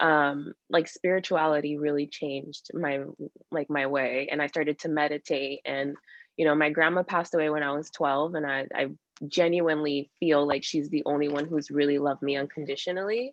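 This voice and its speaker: A woman speaks at a fairly quick pace in a very deep, low voice with a Spanish accent and monotone, flat intonation. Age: 30s. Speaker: abuse survivor sharing her story. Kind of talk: interview testimony. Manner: halting.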